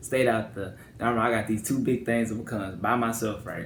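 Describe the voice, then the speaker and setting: Over noticeable background noise and audible room echo, a man talks at a very fast pace. His intonation stays fairly even. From northwest Louisiana, Shreveport. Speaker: YouTuber. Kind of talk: personal vlog monologue. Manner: talkative, casual.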